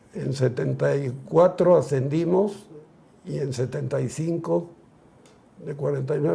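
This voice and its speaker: At a very slow pace, a man with a fairly high pitch speaks in a dark, mellow tone with vocal fry. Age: 70s. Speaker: retired footballer. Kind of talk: interview.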